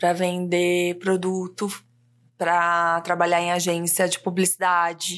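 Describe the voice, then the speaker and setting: A woman speaks at a very slow pace in a fairly low pitch, her intonation monotone and flat. The recording is very clean, with a silent background. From interior of São Paulo state, Brazil (Ribeirão Preto). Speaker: copywriter and mentor. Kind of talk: casual interview chat.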